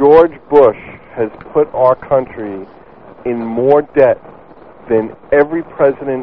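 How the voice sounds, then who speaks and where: Amid noticeable background noise, someone with an American accent speaks very slowly, with long, frequent pauses, big swings in loudness, and ordinary pitch variation. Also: man. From New York. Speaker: caller. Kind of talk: crude comedic banter. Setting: phone call.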